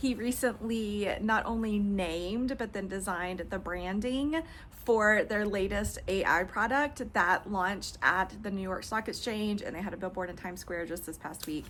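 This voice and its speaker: A woman speaks in an animated tone with a Texan accent. Her pitch sits in the medium range. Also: ordinary pitch variation, moderate pace. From East Texas. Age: 40s. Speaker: lifestyle and fashion video creator. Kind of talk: casual personal vlog monologue.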